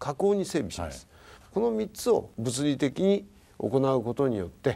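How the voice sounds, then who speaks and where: A man with a dark, mellow tone speaks at a moderate pace, his pitch swinging very widely. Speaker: prefectural governor; guest. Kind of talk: interview talk show. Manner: measured, formal. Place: home room.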